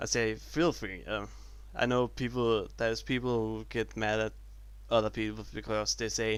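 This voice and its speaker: With a non-native accent, a man talks at a fairly slow pace. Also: very clean recording, silent background. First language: not English. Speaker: YouTuber showing Lego builds. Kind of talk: casual video commentary. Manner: halting.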